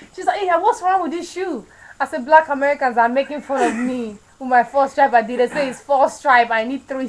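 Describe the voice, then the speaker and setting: A woman's high voice at a very fast pace, with ordinary pitch variation and noticeable background noise. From Nigeria. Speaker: vlogger. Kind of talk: casual chat. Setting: webcam video.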